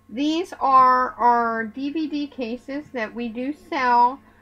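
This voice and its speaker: A woman's high-pitched voice comes out raised and projected, with a bright, sharp tone. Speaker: craft product haul vlogger. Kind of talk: casual product show-and-tell.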